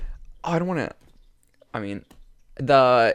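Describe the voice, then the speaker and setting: A man at a moderate pace with very wide pitch swings, in a very clean recording against a silent background. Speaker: podcast host. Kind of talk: casual chat. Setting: studio.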